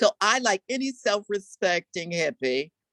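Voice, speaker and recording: In an American accent, the pitch swings very widely, and the sound is dry and close with no echo. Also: woman. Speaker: visual and performance artist. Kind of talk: lecture. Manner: animated.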